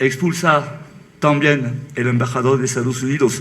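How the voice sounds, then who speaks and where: Over noticeable background noise, a man with a French accent and a fairly high pitch speaks at a fairly slow pace. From France. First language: French (speaking Spanish). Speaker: author. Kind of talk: book presentation talk.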